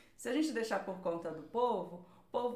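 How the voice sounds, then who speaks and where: A woman speaks with a Rio de Janeiro accent, her fairly high voice making very wide pitch swings. Audible room echo and noticeable background noise fill the clip. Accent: carioca. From Rio de Janeiro, Brazil (Vila da Penha, north zone). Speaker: cultural policy researcher. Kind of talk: interview.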